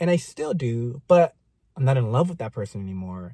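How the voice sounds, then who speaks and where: A man talks at a moderate pace and medium pitch, somewhat breathy, with a dark, mellow tone and lively intonation. The sound is dry and close with no echo, on a very clean recording with a silent background. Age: 30s. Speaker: podcast co-host. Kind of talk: casual chat.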